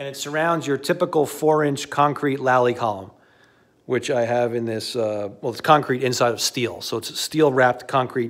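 The intonation of this man stays fairly even. He talks at a moderate pace over a quiet background. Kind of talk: casual walk-through tour. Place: garage. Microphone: phone near.

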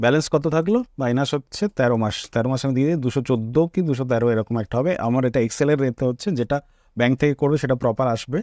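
A man with a fairly high pitch speaks with lively intonation. The sound is dry and close, with no echo and a quiet background. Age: 30s. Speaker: personal finance YouTuber. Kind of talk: screen-share tutorial. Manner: halting.

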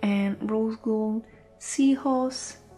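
A woman's fairly high voice in a non-native accent, fairly even in intonation, with music in the background. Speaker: enamel pin collector. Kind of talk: casual talk to camera.

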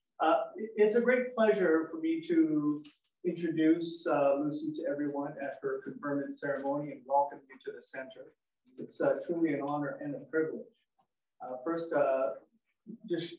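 A man speaks at a moderate pace, leaving long, frequent pauses. His loudness swings widely, and room echo can be heard. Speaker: event host. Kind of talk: ceremonial welcome speech. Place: hall. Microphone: camera far.

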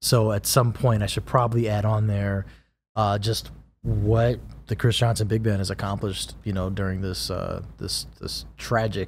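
At a moderate pace, a man speaks in a fairly low, somewhat breathy voice with fairly even intonation. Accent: American. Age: 30s. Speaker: trumpet player and composer. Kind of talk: casual chat. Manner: laid-back, laughs often.

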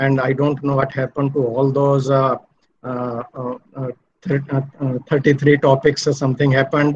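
A man speaks at a fairly slow pace in a somewhat breathy, monotone, flat voice. There is light background noise. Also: fairly high pitch for a man. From India. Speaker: professor. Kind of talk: lecture. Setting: video call. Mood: warm, friendly. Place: home room. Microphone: audio dropped out, bad network; webcam.

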